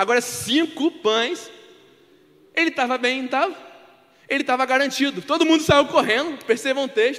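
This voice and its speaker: A man speaks at a moderate pace with extremely high pitch and ordinary pitch variation. Noticeable background noise runs underneath. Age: 20s. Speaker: preacher. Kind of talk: sermon.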